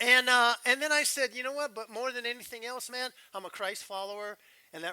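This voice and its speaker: Projecting his voice, a man with an American accent talks at a fairly quick pace in a bright, sharp tone. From Southern California, Riverside. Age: 60s. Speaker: pastor. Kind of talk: sermon. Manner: animated.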